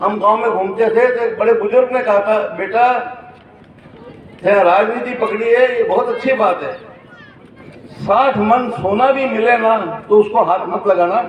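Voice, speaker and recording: With noticeable background noise and audible room echo, a man talks in a high voice with fairly even intonation and long, frequent pauses. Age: 70s. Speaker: hostel owner speaking at public event. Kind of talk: public speech. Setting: stage at public ceremony.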